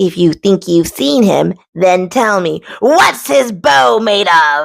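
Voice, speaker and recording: In a put-on character voice, the speaker goes at a very slow pace with lively intonation and very even loudness. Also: woman, medium pitch for a woman. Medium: read story. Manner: calm, commanding.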